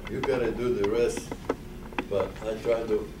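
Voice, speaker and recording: A man talks at a fairly slow pace with ordinary pitch variation, his voice carrying audible room echo over noticeable background noise. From Poland. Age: 80s+. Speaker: Holocaust survivor speaker. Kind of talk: testimony. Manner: soft-spoken; halting.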